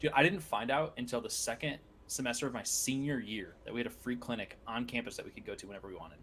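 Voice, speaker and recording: Loudness rises and falls sharply as this voice races along at a very fast pace, its pitch moving in an ordinary way. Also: man, medium pitch for a man. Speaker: podcast co-host. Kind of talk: casual chat.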